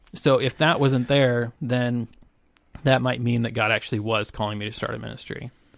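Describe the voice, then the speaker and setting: A man with a normal speaking voice, medium pitch, fairly even intonation and a moderate pace, in an American accent. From US South, small-town Arkansas. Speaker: ministry director. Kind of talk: testimony.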